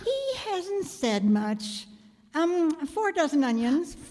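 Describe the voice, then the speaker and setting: Using a put-on character voice, a woman speaks at a very slow pace with high pitch and very wide pitch swings. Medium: stage play. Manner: terse, hesitant.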